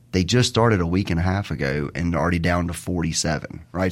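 A man in a Mississippi accent at a very fast pace, on a very clean recording with a silent background. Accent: US South (Mississippi). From Mississippi (Terry). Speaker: lawyer for a state public safety department. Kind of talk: radio interview.

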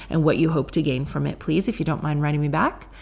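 A woman speaks softly with a very deep, low pitch. Vocal fry runs through her voice. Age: 30s. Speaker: podcast host. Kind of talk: casual chat. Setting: home kitchen. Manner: soft-spoken.

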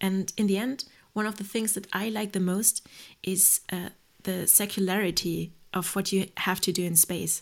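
A normal speaking voice from a woman, medium in pitch and moderate in pace, on a very clean recording with a silent background. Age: 30s. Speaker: reserve astronaut and biotechnologist. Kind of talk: podcast interview.

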